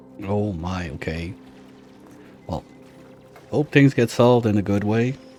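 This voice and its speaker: Over music in the background, a man with a fairly low pitch speaks at a fairly slow pace with lively intonation. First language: French. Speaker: gaming streamer. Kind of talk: live gameplay stream chat. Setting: live stream. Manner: casual, conversational.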